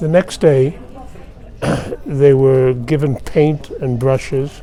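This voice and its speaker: The speech moves at a very slow pace. Noticeable background noise can be heard. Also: man, fairly high pitch for a man. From Austria. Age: 80s+. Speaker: Holocaust survivor. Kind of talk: testimony. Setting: press office interview.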